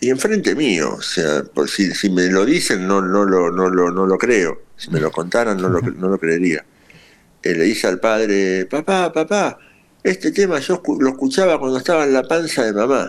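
A man speaks with a fairly low pitch. His voice swings very widely in pitch. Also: moderate pace. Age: 50s. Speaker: rock musician. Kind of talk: interview. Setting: remote line. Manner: halting, many repetitions.

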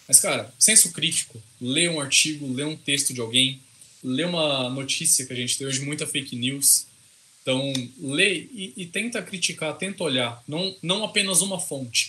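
Noticeable noise is present in the background. The speaker keeps a moderate pace and lively intonation. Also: man, fairly high pitch for a man. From interior of São Paulo state, Brazil. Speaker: computer scientist and researcher. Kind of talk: casual interview.

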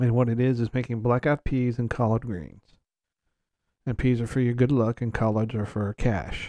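A man with an Alabama accent, a dark, mellow tone, fairly even intonation and a moderate pace, in a dry, close sound with no echo on a very clean recording with a silent background. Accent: Southern US (Alabama). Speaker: podcast host. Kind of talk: casual chat. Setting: home recording.

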